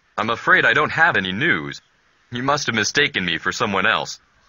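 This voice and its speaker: A man's put-on character voice at medium pitch, delivered at a fairly quick pace. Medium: video game. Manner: polite, earnest.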